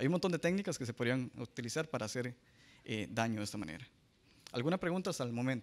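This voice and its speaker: A man at medium pitch, talking at a very fast pace with very wide pitch swings. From Costa Rica. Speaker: cybersecurity analyst; conference speaker. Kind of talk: conference talk. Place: hall. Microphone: handheld.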